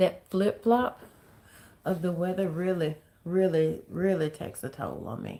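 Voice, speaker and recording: A soft-spoken woman with a dark, mellow tone and fairly even intonation. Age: 50s. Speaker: livestream host, chronic illness vlogger. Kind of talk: casual livestream chat.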